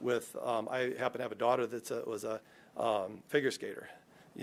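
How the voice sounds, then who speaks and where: This man talks at a fairly quick pace. His pitch is medium and his intonation fairly even. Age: 60s. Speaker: architect and project manager presenting to city council. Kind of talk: presentation at public meeting. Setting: city council meeting. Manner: casual, halting with fillers.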